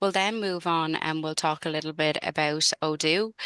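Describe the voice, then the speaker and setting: A woman with a Dublin accent speaks at a fairly low pitch and a moderate pace, with a bright, sharp tone, ordinary pitch variation and a dry sound with no echo. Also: quiet background. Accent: Irish (Dublin). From Ireland, Dublin. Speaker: sales consultant. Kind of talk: webinar presentation. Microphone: video call.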